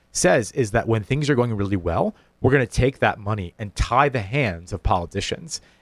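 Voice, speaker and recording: A man's normal speaking voice, fairly low-pitched and fairly quick, with lively intonation, in a dry, close recording with no echo and a very clean, silent background. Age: 30s. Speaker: state official. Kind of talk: radio interview.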